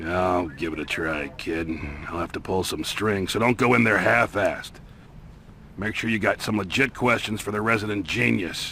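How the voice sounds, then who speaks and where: Doing a put-on character voice, a man sounds raspy with a fairly low pitch, lively intonation and a moderate pace against clear background noise. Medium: video game. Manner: gruff, folksy.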